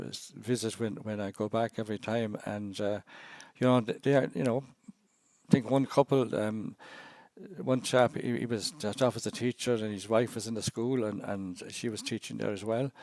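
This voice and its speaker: Recorded with a dry, close sound and no echo, a man talks at a fairly quick pace. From Ireland (Cashel, Co. Tipperary). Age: 70s. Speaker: missionary priest. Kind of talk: podcast interview. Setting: podcast. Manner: halting, many restarts.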